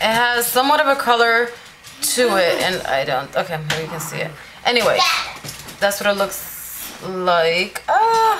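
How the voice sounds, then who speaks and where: A woman speaks with a fairly high pitch. The room has an audible echo, and background noise is noticeable. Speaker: beauty vlogger. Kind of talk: makeup tutorial. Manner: fast.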